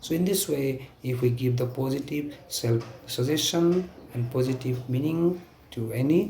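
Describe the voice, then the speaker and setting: A man speaks at a moderate pace with a medium pitch and ordinary pitch variation. His voice is somewhat breathy, with a dark, mellow tone. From Nepal. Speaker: stuttering self-help speaker. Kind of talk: talk to camera. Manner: stuttering, halting.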